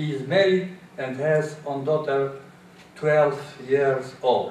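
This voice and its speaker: With an Albanian accent, a man speaks at a very slow pace with ordinary pitch variation, amid audible room echo and noticeable background noise. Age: 70s. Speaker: English learner, immigrant. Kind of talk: prepared speech. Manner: halting.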